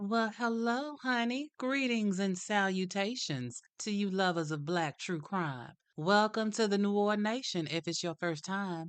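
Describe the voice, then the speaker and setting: With a Southern US accent, a woman speaks at a medium pitch and a fairly slow pace, her intonation lively against a quiet background. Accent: southern drawl. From US South. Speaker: true crime podcast host. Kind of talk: scripted narration. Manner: animated.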